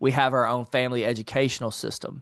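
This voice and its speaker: Here a man speaks at a very fast pace. He has an American accent. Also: quiet background. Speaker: entrepreneur and finance author. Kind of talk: interview.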